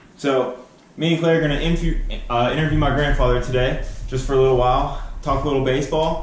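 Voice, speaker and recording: A man with a fairly high voice talks very fast, using ordinary pitch variation over noticeable background noise. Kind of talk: casual talk to camera.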